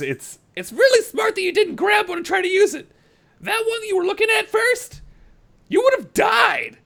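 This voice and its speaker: A man uses a put-on character voice that is squeaky and extremely high in pitch. He keeps a moderate pace. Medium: actual play. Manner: blunt, condescending.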